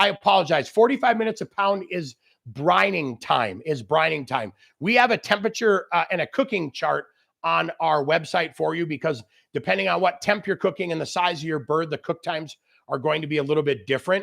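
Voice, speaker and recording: Loud, animated speech at a fairly quick pace, with vocal fry and very wide pitch swings, in a dry, close sound with no echo and a very clean recording, silent background. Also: man, fairly high pitch for a man. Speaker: grilling expert chef. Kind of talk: live cooking demo with Q&A. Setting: outdoor barbecue area, livestream.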